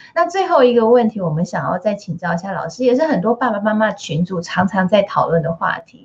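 A woman at a medium pitch with lively intonation, moderate pace, noticeable background noise. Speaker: radio host. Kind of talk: radio interview. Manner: animated.

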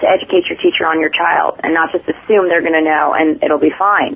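A woman with an American accent, fairly low in pitch, at a fairly quick pace with fairly even intonation, amid noticeable background noise. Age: 30s. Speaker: paranormal investigator. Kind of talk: interview conversation.

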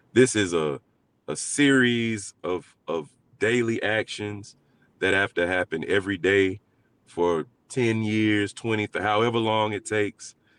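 A man with an American accent speaks in a plain, everyday voice, fairly low in pitch with ordinary pitch variation. The sound is dry and close with no echo, over a quiet background. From Alabama, US South. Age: 40s. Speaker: community organizer. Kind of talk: interview.

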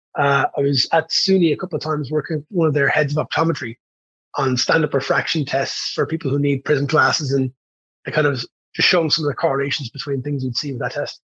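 Fast-paced and fairly high, a man's voice with a Dublin accent keeps a fairly even intonation, recorded dry and close with no echo. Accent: Dublin Irish. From Ireland, Dublin. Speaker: fitness coach. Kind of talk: casual chat.

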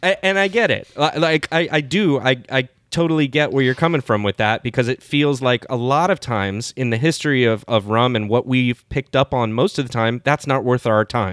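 A man with a plain, everyday voice speaks at a moderate pace in a medium pitch, with lively intonation and very even loudness. The recording is very clean, with a silent background. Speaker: podcast host. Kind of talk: casual chat.

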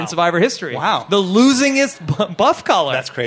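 A man's high-pitched voice moves at a fairly quick pace with an animated tone and very wide pitch swings. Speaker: podcast host. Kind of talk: live podcast recap before audience. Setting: comedy club stage with audience.

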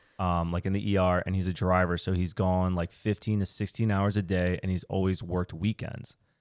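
A man with very deep, low pitch and fairly even intonation talks at a fairly quick pace, recorded with a dry, close sound with no echo on a very clean recording with a silent background. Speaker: podcast co-host. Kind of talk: casual chat.

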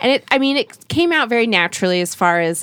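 Lively intonation marks this woman's fairly quick speech in an American accent. She has an ordinary speaking voice. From Utah. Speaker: TV presenter. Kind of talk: casual chat.

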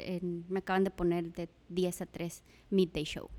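A woman speaks at a fairly slow pace. The sound is dry and close, with no echo. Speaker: radio host. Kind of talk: interview. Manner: animated.

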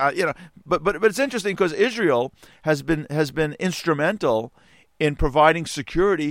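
A man speaks at a moderate pace with a fairly high pitch, in a very clean recording with a silent background. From United States. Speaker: radio host. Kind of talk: solo radio commentary. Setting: studio. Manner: halting, many repeated words.

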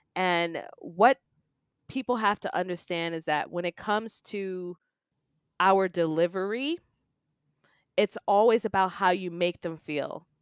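A woman with an American accent, medium pitch, ordinary pitch variation, a fairly slow pace and long, frequent pauses, in a very clean recording with a silent background and a dry, close sound with no echo. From New York City, Queens. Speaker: public speaking coach and business strategist. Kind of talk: podcast interview.

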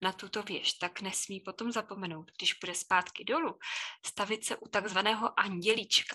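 Against a quiet background, a woman speaks at a fairly slow pace. Her medium-pitched voice has a bright, sharp tone and ordinary pitch variation. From Czechia, Chodov near Karlovy Vary. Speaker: Czech language teacher. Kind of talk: casual interview.

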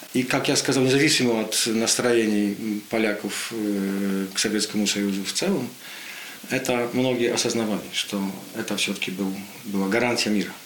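With a Polish accent, a man speaks with fairly even intonation and long, frequent pauses, amid audible room echo and noticeable background noise. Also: medium pitch for a man, moderate pace. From Poland. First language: Polish (speaking Russian). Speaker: political commentator. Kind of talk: radio interview.

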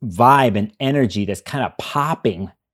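Here is a man with an ordinary speaking voice, moving at a moderate pace with ordinary pitch variation. The recording is very clean and the background silent. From Chicago, US. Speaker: astrologer. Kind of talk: casual interview discussion.

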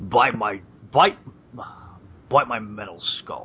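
This man puts on a character voice. His pitch sits fairly low.

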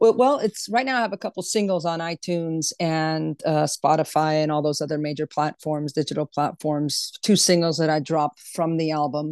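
Dry and close with no echo, the voice moves at a moderate pace with ordinary pitch variation and hardly any pauses against a quiet background. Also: woman, very deep, low pitch for a woman. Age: 50s. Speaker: singer-songwriter and vocal coach. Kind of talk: casual interview. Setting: video call.

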